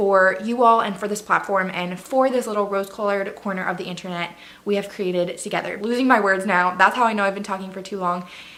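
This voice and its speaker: Amid audible room echo, a woman with a medium pitch talks at a fairly quick pace in an animated tone. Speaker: faith and lifestyle vlogger. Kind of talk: casual vlog monologue. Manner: fast.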